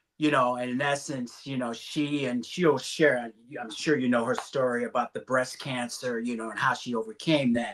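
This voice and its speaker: Noticeable background noise sits behind a man speaking at medium pitch with fairly even intonation. He keeps a moderate pace with hardly any pauses. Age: 60s. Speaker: life coach, meditation guide. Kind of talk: casual chat.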